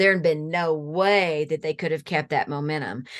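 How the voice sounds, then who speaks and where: In a quiet background, a woman has an ordinary speaking voice, fairly low in pitch, with ordinary pitch variation at a moderate pace. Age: 50s. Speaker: counselor training executive. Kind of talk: interview.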